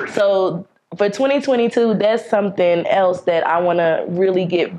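Here a woman talks with ordinary pitch variation. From North Carolina, USA. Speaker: singer-songwriter. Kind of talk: interview answer. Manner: casual. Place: studio.

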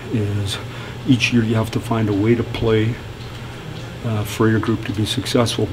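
Against noticeable background noise, a man with a fairly low pitch talks at a moderate pace with fairly even intonation. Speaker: hockey coach. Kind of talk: interview answer. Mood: firm, matter-of-fact. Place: hall. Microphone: handheld.

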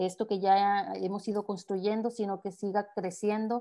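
At a fairly slow pace, a woman with a medium pitch speaks in a dark, mellow tone with monotone, flat intonation against a quiet background. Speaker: moderator of online closing session. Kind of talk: moderated online panel. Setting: video call. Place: home room. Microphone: video call.

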